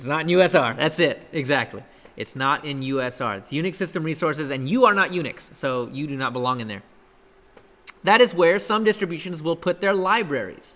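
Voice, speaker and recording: A man's bright, sharp tone at a fairly quick pace, with lively intonation and big swings in loudness. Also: fairly high pitch for a man. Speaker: college instructor. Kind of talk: lecture. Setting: classroom. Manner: fast.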